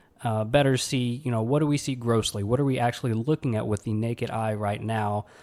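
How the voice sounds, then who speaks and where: A man with an American accent speaks at a fairly quick pace in a dark, mellow, medium-pitched tone with fairly even intonation. The recording is very clean with a silent background. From US South (Alabama). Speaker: podcast host, pathology resident doctor. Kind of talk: casual solo podcast talk. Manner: filler-heavy, conversational.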